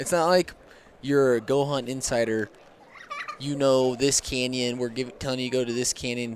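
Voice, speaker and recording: A man with a medium pitch and fairly even intonation speaks at a moderate pace as noticeable background noise continues. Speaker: podcast host, hunter. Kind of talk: casual chat.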